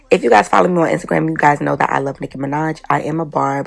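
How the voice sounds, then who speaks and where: Fairly quick speech over music in the background. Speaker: makeup artist and hairstylist. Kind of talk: tutorial. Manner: casual, chatty.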